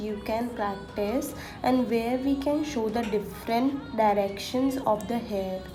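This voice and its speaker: Over music in the background, a woman with a fairly high pitch and ordinary pitch variation speaks at a fairly slow pace, with audible room echo. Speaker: fashion illustrator. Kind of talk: tutorial.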